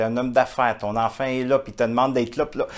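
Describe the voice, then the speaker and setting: This man's intonation is fairly even. His pitch sits in the medium range. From Quebec. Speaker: entrepreneur, author and international speaker. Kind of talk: interview answer. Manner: warm, heartfelt.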